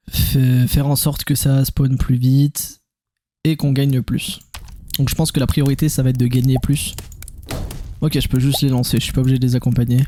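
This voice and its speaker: A man speaks at a moderate pace in a medium-pitched, somewhat breathy voice with a dark, mellow tone, flat monotone intonation, very even loudness and long, frequent pauses. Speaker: gaming youtuber. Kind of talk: gameplay commentary. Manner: calm; casual.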